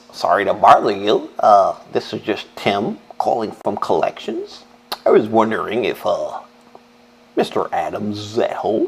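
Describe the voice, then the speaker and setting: A man uses a put-on character voice. It sounds nasal and moves at a moderate pace. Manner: overly polite, corporate.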